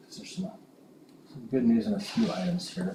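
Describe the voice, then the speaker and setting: A man speaks in a high pitch with very wide pitch swings. Noticeable background noise runs behind him. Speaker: school superintendent. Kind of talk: board meeting report. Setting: school board meeting. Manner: hesitant with fillers.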